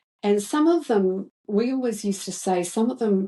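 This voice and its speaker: A woman speaks in a dark, mellow tone at a medium pitch. Her intonation is lively and her pace moderate. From New Zealand. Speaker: retired teacher. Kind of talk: interview answer.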